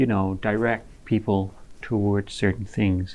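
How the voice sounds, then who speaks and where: A man with an unremarkable speaking voice talks at a moderate pace with fairly even intonation against a quiet background. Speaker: radio host.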